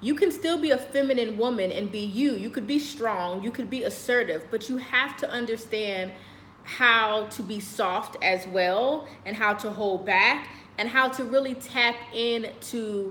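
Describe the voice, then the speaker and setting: With an American accent, a woman speaks at a moderate pace and ordinary pitch variation amid noticeable background noise and audible room echo. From United States. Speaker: lifestyle vlogger. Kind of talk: casual monologue to camera. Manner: loud.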